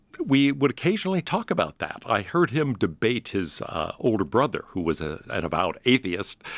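With an American accent and vocal fry, a man talks with hardly any pauses and very wide pitch swings in a very clean recording with a silent background. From US Northeast (Pittsburgh, Connecticut). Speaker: philosophy professor. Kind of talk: interview.

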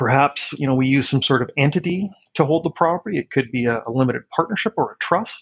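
Very fast and somewhat breathy, a man with a Canadian accent speaks in a fairly high voice with lively intonation. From Saskatchewan, Canada (Regina). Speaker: tax accountant. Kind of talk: interview.

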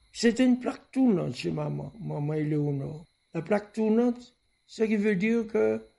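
A man talks at a fairly slow pace in a high pitch for a man. His tone is dark and mellow. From Martinique, Le François. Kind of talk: recorded childhood memories.

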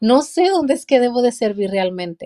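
The woman's voice has a dark, mellow tone, in a dry, close sound with no echo. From Mexico, Durango. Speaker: pastor and author. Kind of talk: interview.

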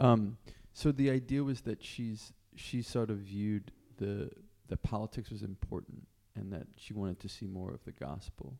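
A man with a fairly low pitch and a dark, mellow tone talks at a moderate pace. His pitch varies in an ordinary way while his loudness swings widely. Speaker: podcast host. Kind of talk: interview. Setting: in person at a convent.

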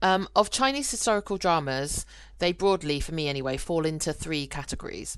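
Speaking with a British accent, a woman with a fairly low pitch uses lively intonation at a fairly quick pace. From UK. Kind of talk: casual podcast conversation.

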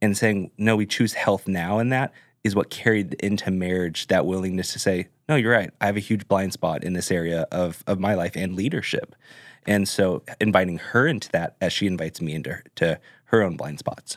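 A man with an American accent, very deep and low in pitch, ordinary pitch variation, dry, close sound with no echo. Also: moderate pace. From Southern California, Orange County. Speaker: pastor. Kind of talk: casual chat.

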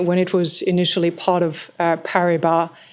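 Against noticeable background noise, a woman with a French accent speaks at a moderate pace and a fairly low pitch. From France, small mountain village. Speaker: private equity partner. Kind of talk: interview.

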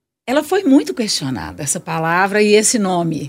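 On a very clean recording with a silent background, a woman's voice moves in very wide pitch swings. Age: 60s. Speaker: singing teacher and carnival bloc founder. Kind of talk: radio interview.

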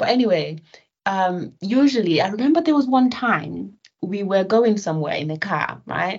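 A woman talks at a moderate pace and a medium pitch. Her pitch swings very widely. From Nigeria. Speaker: academic researcher. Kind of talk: interview conversation.

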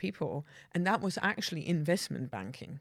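Lively intonation and a Dutch accent come through in a very clean recording with a silent background. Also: woman. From Netherlands, rural village. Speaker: banking executive. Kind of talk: casual interview. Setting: studio.

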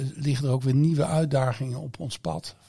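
The man's voice has a dark, mellow tone at a medium pitch. It comes across somewhat breathy. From Netherlands, Eindhoven region. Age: 50s. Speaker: campus managing director. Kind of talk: interview. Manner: halting.

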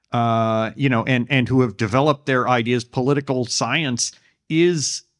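In a very clean recording against a silent background, an unremarkable speaking voice moves at a fairly slow pace with ordinary pitch variation. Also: man, very even loudness. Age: 50s. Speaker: political writer. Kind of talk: interview.

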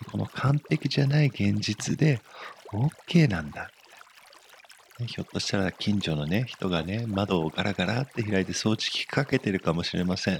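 Over noticeable background noise, a man speaks in a calm, gentle tone, the sound dry and close with no echo. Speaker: meditation teacher. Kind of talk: guided meditation. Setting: studio. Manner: soft, warm, encouraging; slow, calm and gentle, with pauses.

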